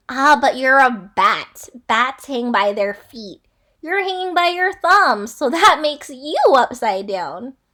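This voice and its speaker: A loud, put-on character voice from a woman, pitched high. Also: fairly slow pace. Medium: read story.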